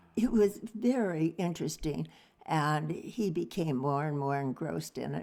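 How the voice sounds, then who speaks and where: With lively intonation, a woman speaks at a fairly low pitch in a dark, mellow tone marked by vocal fry. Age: 80s+. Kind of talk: interview answer.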